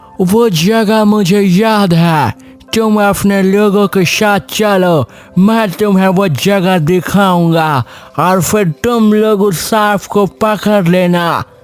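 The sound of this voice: A cartoonish character voice speaks at a very slow pace. Faint music plays in the background. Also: man, high pitch for a man.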